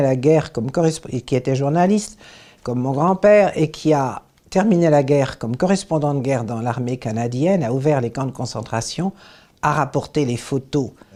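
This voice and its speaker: A woman's very deep, low voice with a dark, mellow tone, lively intonation and a moderate pace, on a very clean recording with a silent background. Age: 80s+. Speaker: human rights activist. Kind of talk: interview testimony.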